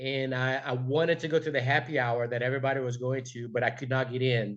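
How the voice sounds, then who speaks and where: Against a quiet background, a man with a Brazilian accent talks at a fairly quick pace. His medium pitch carries fairly even intonation. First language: Portuguese. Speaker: entrepreneur. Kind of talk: motivational talk. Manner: halting, many fillers; passionate.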